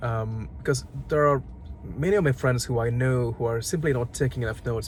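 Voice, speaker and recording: This man keeps a moderate pace while noticeable background noise runs underneath. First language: not English. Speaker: startup founder. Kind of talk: casual product walkthrough. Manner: hesitant, with many repeated words.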